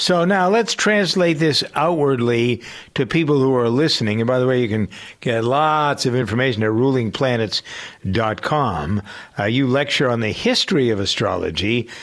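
An ordinary speaking voice at a moderate pace, lively in intonation and very even in loudness, on a very clean recording with a silent background. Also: man, medium pitch for a man. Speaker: radio host. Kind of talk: casual interview chat.

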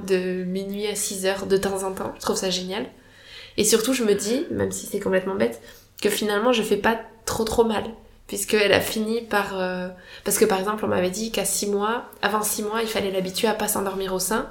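A woman speaks at a moderate pace in a medium pitch, her intonation flat and monotone, with audible echo from the room. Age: 30s. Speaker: doctor and mother. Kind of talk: casual interview, personal testimony. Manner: hesitant, many fillers.

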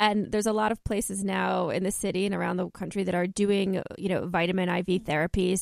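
A woman's medium-pitched voice with vocal fry, very fast and hardly pausing, at a very even loudness. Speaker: radio host. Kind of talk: radio infomercial, scripted-sounding sales pitch for a clinic. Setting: radio studio. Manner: polished, upbeat, promotional.

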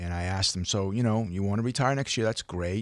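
In a very clean recording with a silent background, an ordinary speaking voice with an American accent shows ordinary pitch variation. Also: man. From Hong Kong, then US. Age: 50s. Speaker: financial advisor. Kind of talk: radio interview.

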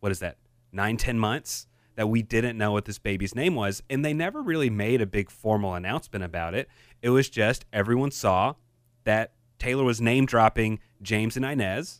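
Here is a man with a normal speaking voice, medium pitch and lively intonation at a moderate pace. The recording is very clean, with a silent background. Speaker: podcast host. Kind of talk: casual chat.

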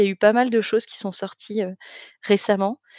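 Against a quiet background, a woman speaks at a medium pitch with fairly even intonation in a dry, close sound with no echo. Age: 30s. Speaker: testimony guest, soap maker. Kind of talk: testimony. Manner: halting, many hesitations.

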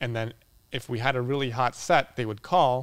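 With a Boston accent, a man speaks at a medium pitch and moderate pace, his intonation fairly even. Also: very clean recording, silent background. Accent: Boston American. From Boston, US. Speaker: architectural photographer. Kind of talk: casual interview conversation.

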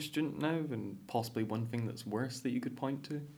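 A man talks at a moderate pace with ordinary pitch variation, and audible room echo is present. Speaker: student podcast host. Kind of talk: interview.

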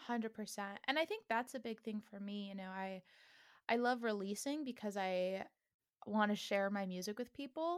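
With an American accent, a woman uses an ordinary speaking voice at a fairly high pitch, ordinary pitch variation and a moderate pace, on a very clean recording with a silent background. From Northern California. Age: 20s. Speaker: musician. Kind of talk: casual interview.

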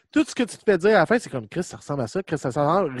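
A man with a Quebec accent speaks with lively intonation, in a dry, close sound with no echo. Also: quiet background. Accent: Québécois French. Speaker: podcast host. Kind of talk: casual chat.

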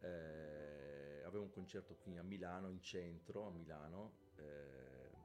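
Audible room echo carries a man's very deep, low pitch, which shows ordinary pitch variation. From southern Italy, Calabria (Pizzo Calabro). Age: 50s. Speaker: bass player. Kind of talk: casual interview. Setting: live-streamed podcast.

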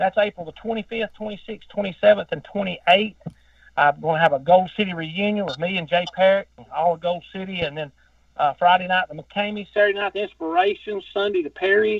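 Talking at a fairly quick pace with a Southern US accent, a man with a high pitch lets his loudness swing widely. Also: ordinary pitch variation. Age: 50s. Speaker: gospel singer. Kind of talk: casual chat. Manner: talkative.

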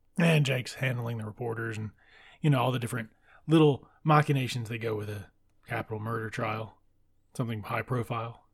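A man speaks with a somewhat breathy voice at medium pitch. His pace is fairly quick and his intonation fairly even, with long, frequent pauses. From US South, deep south Mississippi. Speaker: book podcast host. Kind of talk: casual book discussion monologue. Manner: casual, laughs often.

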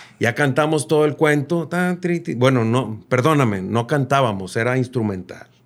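Here a man with an unremarkable speaking voice talks at a moderate pace and a medium pitch. His loudness stays very even, and his pitch variation is ordinary. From Monterrey, Mexico. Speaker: singer-songwriter. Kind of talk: casual interview chat.

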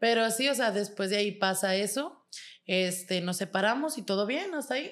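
A woman of medium pitch speaks in an unremarkable speaking voice with ordinary pitch variation, on a very clean recording with a silent background. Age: 20s. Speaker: model and online content creator. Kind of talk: casual chat.

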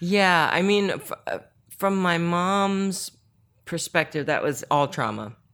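On a very clean recording with a silent background, a woman with an American accent speaks at a very slow pace with ordinary pitch variation. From Northern Virginia, US. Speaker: chef and author. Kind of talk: casual interview chat. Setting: guest's apartment.

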